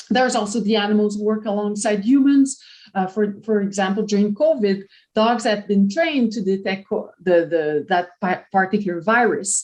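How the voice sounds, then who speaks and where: A woman speaks with a French Canadian accent at medium pitch. Her pace is moderate and her pitch varies in an ordinary way. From Quebec, Canada. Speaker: professor. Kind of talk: lecture. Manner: halting, with frequent repetitions and fillers.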